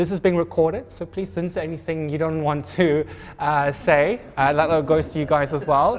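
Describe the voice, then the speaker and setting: A man with a South African accent talks fairly quickly at a fairly high pitch. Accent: Afrikaans-accented English. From South Africa, Pretoria. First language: Afrikaans. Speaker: event moderator. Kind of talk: panel moderation, live event. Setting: live talk with audience. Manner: hesitant, many fillers.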